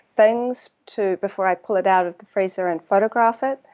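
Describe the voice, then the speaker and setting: A woman speaks with a New Zealand accent at a medium pitch. Her intonation is fairly even and her pace moderate. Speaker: water researcher. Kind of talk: interview conversation. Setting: live video stream. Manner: hesitant, many fillers.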